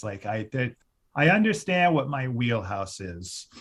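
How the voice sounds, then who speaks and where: The voice is somewhat breathy, with an American accent, over a quiet background. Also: man. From US Midwest (Cleveland suburbs, Ohio). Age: 40s. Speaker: music critic and podcast host. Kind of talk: podcast interview. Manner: animated, many fillers and restarts.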